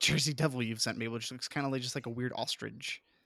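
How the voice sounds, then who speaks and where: In a very clean recording with a silent background and dry, close sound with no echo, a man with a normal speaking voice talks at medium pitch with ordinary pitch variation. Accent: American. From Colorado. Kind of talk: casual chat.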